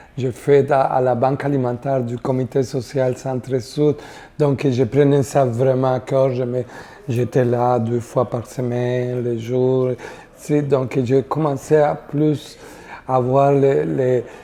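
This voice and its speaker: A woman with a Spanish accent speaks very slowly in a very deep, low voice. Her intonation is fairly even, and there's noticeable background noise. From Costa Rica. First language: Spanish (speaking French). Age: 60s. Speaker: community worker. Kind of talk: interview testimony. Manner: halting, many hesitations.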